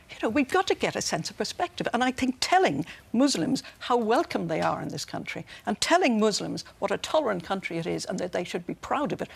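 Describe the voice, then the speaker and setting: Very wide pitch swings at a fairly quick pace with an Irish accent, in a dry, close sound with no echo. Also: woman, fairly high pitch for a woman. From Ireland. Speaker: commentator. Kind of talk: TV panel debate. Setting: TV studio. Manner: forceful, talks over host.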